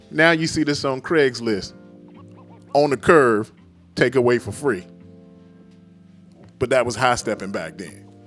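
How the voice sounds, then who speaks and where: Music plays in the background as the speaker talks at a fairly slow pace, pausing long and often. The tone is animated and the intonation lively. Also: man, medium pitch for a man. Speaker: sports comedy host. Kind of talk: casual talk to camera. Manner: humorous, animated.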